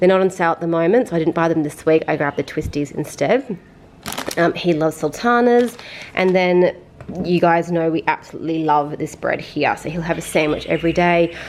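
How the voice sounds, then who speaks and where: With an Australian accent, a woman talks at a fairly low pitch and a fairly quick pace over noticeable background noise. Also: ordinary pitch variation. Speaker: vlogger. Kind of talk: casual vlog talk. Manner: fast; chatty.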